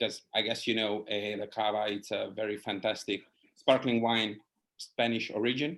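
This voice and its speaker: A man with a Hungarian accent, fairly even intonation and a moderate pace. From Hungary. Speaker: wine writer and educator. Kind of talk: casual chat.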